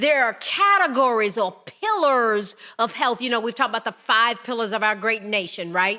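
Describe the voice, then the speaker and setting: At a moderate pace, a woman with a fairly high pitch and ordinary pitch variation speaks in an ordinary speaking voice. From United States. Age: 60s. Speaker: podcast host. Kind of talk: podcast monologue.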